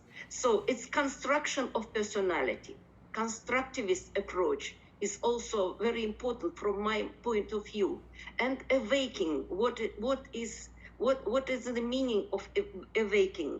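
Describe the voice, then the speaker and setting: Talking at a fairly slow pace, a woman uses a fairly high pitch, vocal fry and lively intonation. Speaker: professor. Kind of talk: conference presentation. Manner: halting, many fillers.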